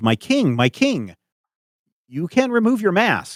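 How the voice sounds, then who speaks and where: Putting on a high-pitched character voice, a man speaks fairly slowly with very wide pitch swings, recorded dry and close with no echo. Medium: actual play.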